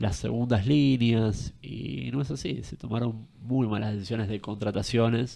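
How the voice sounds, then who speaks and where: Over a quiet background, a man speaks with a dark, mellow tone. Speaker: political commentator. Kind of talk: interview.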